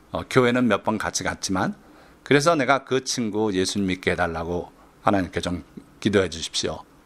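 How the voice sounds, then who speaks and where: A man talks at a fairly quick pace with lively intonation. His tone is calm. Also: fairly low pitch for a man. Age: 60s. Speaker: pastor and retired professor. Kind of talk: sermon. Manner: calm storytelling with hesitation fillers.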